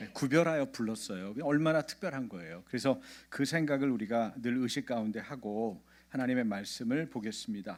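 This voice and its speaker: A man at medium pitch and a moderate pace, in a very clean recording with a silent background. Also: lively intonation. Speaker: pastor. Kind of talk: sermon. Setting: church. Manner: childlike simple intonation for kids; interactive, questions to congregation.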